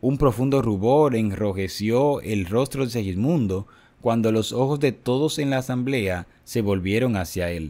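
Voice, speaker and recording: A man speaks at a medium pitch and a fairly slow pace. His tone is dramatic and solemn, also dark and mellow. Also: ordinary pitch variation, very clean recording, silent background. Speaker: narrator reading a book aloud. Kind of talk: scripted narration, audiobook reading of a religious history. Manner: dramatic, solemn, measured narration that builds tension; formal, even-paced.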